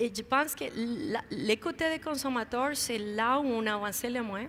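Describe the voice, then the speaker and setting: Her voice is high-pitched with a bright, sharp tone, and this woman has a slight non-native accent. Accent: slight foreign accent in French. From outside Quebec. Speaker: video game industry figure. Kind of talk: panel interview. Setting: conference main stage. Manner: halting.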